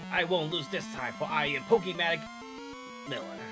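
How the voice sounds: A gruff, high-pitched put-on character voice from a man at a fairly quick pace, with loud music in the background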